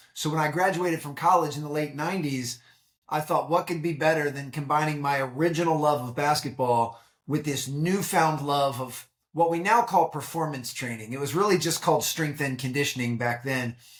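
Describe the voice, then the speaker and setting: A man with an American accent talks at a fairly quick pace. His voice is somewhat breathy and fairly high, with ordinary pitch variation. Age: 40s. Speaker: high-performance coach and keynote speaker. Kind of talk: podcast interview. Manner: conversational with frequent fillers and repetitions.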